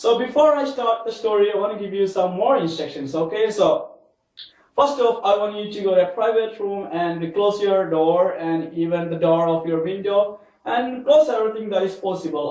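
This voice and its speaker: At a moderate pace, a man speaks with high pitch and ordinary pitch variation. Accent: Keralan. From India, Kerala. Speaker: English learner teaching with mini-stories. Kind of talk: question-and-answer mini story lesson.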